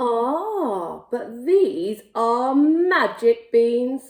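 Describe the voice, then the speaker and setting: A woman's put-on character voice, high-pitched with very wide pitch swings. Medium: read story.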